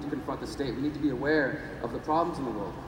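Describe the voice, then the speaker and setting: Audible room echo and noticeable background noise accompany a man speaking at a fairly high pitch. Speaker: activist and journalist. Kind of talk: conference talk. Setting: stage with audience. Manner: fast; animated.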